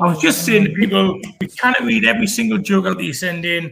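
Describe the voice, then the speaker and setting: A man speaks with a Geordie accent. His pitch swings very widely. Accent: Geordie drawl. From northern England (Newcastle). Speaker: comedy show host. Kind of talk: online comedy show hosting.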